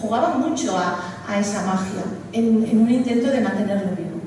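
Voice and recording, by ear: With audible room echo, a woman speaks at a fairly quick pace and medium pitch, with ordinary pitch variation.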